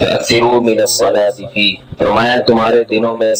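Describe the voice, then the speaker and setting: A man talking with music in the background. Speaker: Islamic scholar giving a religious lecture. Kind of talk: Islamic sermon (bayan) delivered to an audience. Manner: explanatory, asks the audience rhetorical questions.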